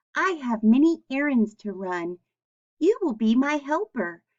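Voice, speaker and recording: A woman speaks in a put-on character voice, high-pitched, at a moderate pace. Her pitch swings very widely. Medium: read story. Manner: pleasant, warm.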